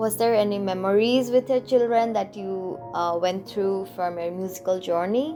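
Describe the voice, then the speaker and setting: A woman with a medium-pitched voice speaks at a moderate pace with lively intonation. Music plays behind her. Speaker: podcast interviewer. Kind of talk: interview questions.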